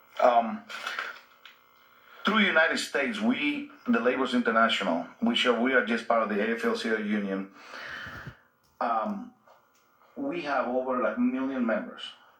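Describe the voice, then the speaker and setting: A man speaks at a moderate pace in a Spanish accent, with long, frequent pauses. Noticeable background noise sits behind him. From Guatemala. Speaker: union organizer. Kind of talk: radio interview.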